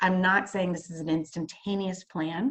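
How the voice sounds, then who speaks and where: This woman talks at a medium pitch. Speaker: marketing presenter. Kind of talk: presentation on video call. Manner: fast; hesitant with many fillers.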